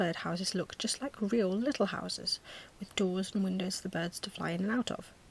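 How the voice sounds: The voice reads in a natural way, its pitch rising and falling by an ordinary amount.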